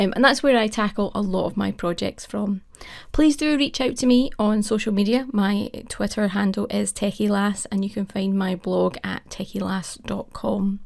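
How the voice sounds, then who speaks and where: On a very clean recording with a silent background, a woman speaks at a medium pitch with a Scottish accent. Her pace is moderate and her pitch varies in an ordinary way. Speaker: cloud technology advocate. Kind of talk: conference presentation.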